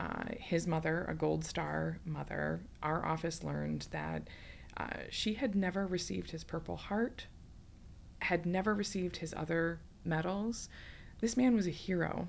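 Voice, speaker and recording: A woman with an Upper Midwest accent speaks at a moderate pace, leaving long, frequent pauses. Audible room echo surrounds her voice. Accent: Upper Midwest American. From West Michigan. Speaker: politician. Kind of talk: casual chat.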